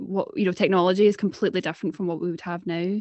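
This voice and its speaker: This is a woman talking in a Scottish accent. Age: 20s. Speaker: podcast co-host, university student. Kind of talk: casual chat.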